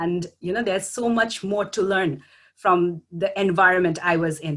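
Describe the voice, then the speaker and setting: A woman speaks with a Bangladeshi accent at a moderate pace. Her pitch is fairly low. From Bangladesh, Dhaka. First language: Bengali. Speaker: graduate student. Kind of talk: panel talk. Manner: halting.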